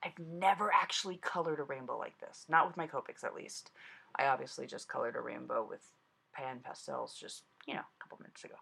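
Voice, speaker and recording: A woman talks very fast. The volume of her voice rises and falls sharply. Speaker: card-making crafter. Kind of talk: crafting tutorial voiceover. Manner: casual, chatty.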